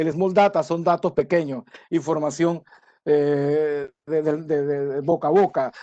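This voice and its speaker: This man has a normal speaking voice at a fairly high pitch. His pitch varies in an ordinary way. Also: dry, close sound with no echo. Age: 60s. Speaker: conference speaker on supply chain. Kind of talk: lecture. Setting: webinar from home.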